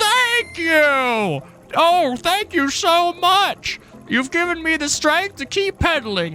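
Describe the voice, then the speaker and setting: In a put-on character voice at an extremely high pitch, the speaker goes at a very slow pace with clear music in the background. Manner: squeaky, grating.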